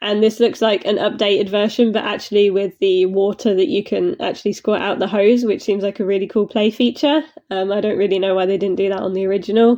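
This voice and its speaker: With a British accent, a woman talks very fast in a medium-pitched voice, with hardly any pauses. Her intonation is fairly even. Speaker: model horse reviewer. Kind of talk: casual reaction video. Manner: hesitant, many fillers.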